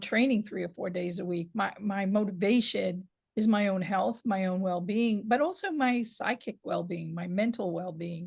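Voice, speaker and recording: Speaking at a fairly slow pace in a New York accent, a woman with a medium pitch sounds somewhat breathy, with ordinary pitch variation against a quiet background. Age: 60s. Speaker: women's boxing historian and author. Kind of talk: interview. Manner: halting with repeated words.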